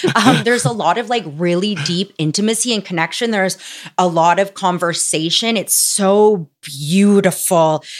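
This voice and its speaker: A woman's plain, everyday voice with ordinary pitch variation. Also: medium pitch for a woman, moderate pace. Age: 30s. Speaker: content creator. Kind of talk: casual chat.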